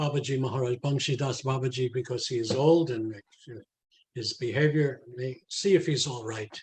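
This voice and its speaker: Somewhat breathy, fairly high-pitched male voice with fairly even intonation at a moderate pace. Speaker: spiritual teacher and author. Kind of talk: storytelling memories in a talk.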